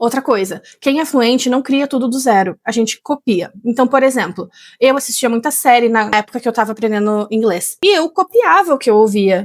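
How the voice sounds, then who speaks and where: With a plain, everyday voice, a woman talks at a moderate pace and fairly high pitch with ordinary pitch variation, the sound dry and close with no echo in a very clean recording over a silent background. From Rio Grande do Sul, Brazil. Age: 30s. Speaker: English teacher. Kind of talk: tutorial.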